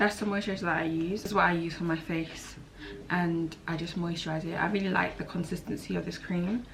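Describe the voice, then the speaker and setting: Against noticeable background noise and audible room echo, a woman with a fairly low voice speaks at a fairly quick pace with fairly even intonation. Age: 20s. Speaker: beauty youtuber. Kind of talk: casual chat. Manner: relaxed.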